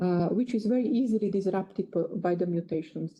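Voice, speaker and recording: The voice is somewhat breathy, with a Slovak accent. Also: woman. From Slovakia. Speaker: geneticist. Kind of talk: lecture. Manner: halting.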